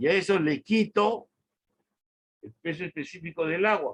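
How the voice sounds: A man talks at a moderate pace with lively intonation and fairly high pitch. His tone is fairly bright, with a slightly husky edge.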